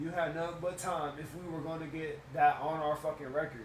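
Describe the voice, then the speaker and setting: A man speaks at a fairly high pitch and a fairly quick pace. Noticeable background noise and audible room echo are present. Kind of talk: casual chat. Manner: animated; halting.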